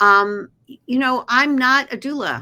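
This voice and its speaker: Bright and sharp in tone, a woman with a Philadelphia accent uses lively intonation in a very clean recording with a silent background. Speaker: naturopath and acupuncturist. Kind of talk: podcast interview.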